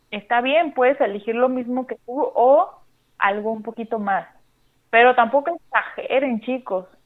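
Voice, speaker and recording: Speaking at a fairly slow pace, a woman with a high pitch shows ordinary pitch variation. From Mexico, Sinaloa. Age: 30s. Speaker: church worship musician and podcaster. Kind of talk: casual chat. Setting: phone call.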